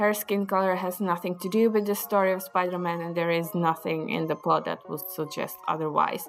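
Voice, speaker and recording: Fairly low-pitched, fairly even speech from a woman over music in the background. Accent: non-native. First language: not English. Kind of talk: casual opinion talk to camera.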